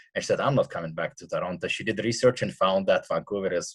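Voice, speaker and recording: A man with a Russian accent, against a quiet background. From Russia, Siberia. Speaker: punk rock singer and radio host. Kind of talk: casual interview. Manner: halting.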